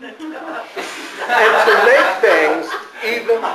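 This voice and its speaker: A man speaks with an American accent. Noticeable background noise can be heard. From Southern California. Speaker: Toastmasters club speaker. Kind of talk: humorous storytelling speech to an audience.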